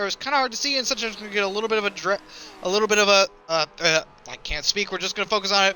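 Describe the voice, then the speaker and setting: A man's raised, projected voice, high-pitched, with ordinary pitch variation and noticeable background noise. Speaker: esports race commentator. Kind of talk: live commentary. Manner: fast; animated.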